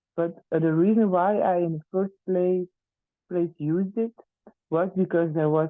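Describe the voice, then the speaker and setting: A moderate pace in a Flemish accent. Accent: Flemish Dutch accent in English. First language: Dutch. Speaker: teacher. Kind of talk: testimony. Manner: halting, many fillers.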